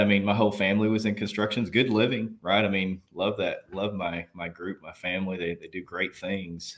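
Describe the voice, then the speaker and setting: A man with a Southern US accent talks at a fairly quick pace and a fairly low pitch, with ordinary pitch variation. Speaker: army veteran and nurse executive. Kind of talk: interview conversation.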